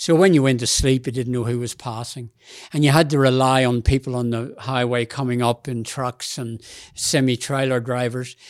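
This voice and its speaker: On a very clean recording with a silent background, a man with an Australian accent talks at medium pitch in a fairly even intonation. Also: moderate pace. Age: 80s+. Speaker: ultramarathon runner. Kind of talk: interview.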